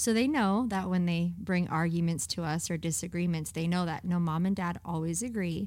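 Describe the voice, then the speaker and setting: A woman talks with an unremarkable speaking voice at a fairly low pitch. Her pace is moderate, with hardly any pauses and ordinary pitch variation. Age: 30s. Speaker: pastor. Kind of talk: casual chat.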